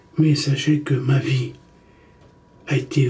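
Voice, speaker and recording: A man's fairly high voice, very slow and flat in a monotone, with audible room echo. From Egypt, Italian mother. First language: Italian (speaking French). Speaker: documentary maker. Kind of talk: personal monologue to camera. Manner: halting, self-correcting.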